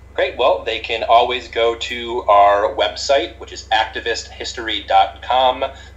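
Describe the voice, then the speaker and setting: Against noticeable background noise, a man with an American accent talks at a fairly slow pace with hardly any pauses and big swings in loudness. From US Northeast. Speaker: history PhD candidate. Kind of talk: casual chat.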